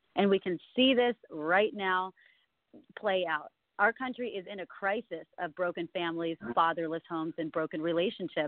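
A woman with an unremarkable speaking voice talks at a moderate pace, fairly low in pitch with ordinary pitch variation. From California. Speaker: congressional candidate. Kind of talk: phone interview. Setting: phone call.

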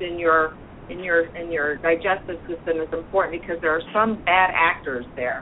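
A woman keeps a moderate pace while noticeable background noise plays behind her. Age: 50s. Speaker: clinical nutritionist. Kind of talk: expert panel discussion.

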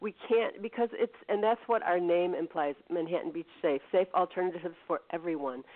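A woman talks with an American accent in an unremarkable speaking voice, at a moderate pace. Her pitch varies in an ordinary way, and she hardly pauses. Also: fairly low pitch for a woman. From Chicago, US Midwest. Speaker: nonprofit board member, writer and producer. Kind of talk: radio interview.

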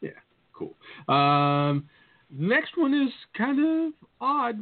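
This man's pitch swings very widely as he speaks. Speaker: podcast host. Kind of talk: casual chat.

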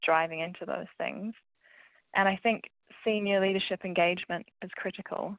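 Her fairly low-pitched voice, a woman's, holds a moderate pace and monotone, flat intonation. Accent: New Zealand. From New Zealand. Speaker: financial wellbeing specialist. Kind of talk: casual interview chat.

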